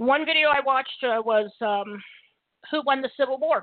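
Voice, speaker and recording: A high-pitched female voice. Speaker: radio host. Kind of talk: political commentary monologue. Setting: internet radio show. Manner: fast talker.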